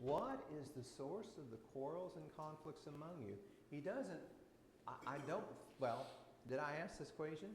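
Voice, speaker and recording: Lively intonation with vocal fry, audible room echo. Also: man. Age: 60s. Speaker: Bible class teacher. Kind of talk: Bible class teaching with discussion. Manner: conversational.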